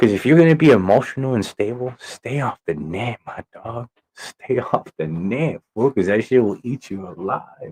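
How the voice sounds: A man talks at a moderate pace with lively intonation, a medium pitch, a slightly husky edge and a slightly mellow tone, recorded with a dry, close sound and no echo.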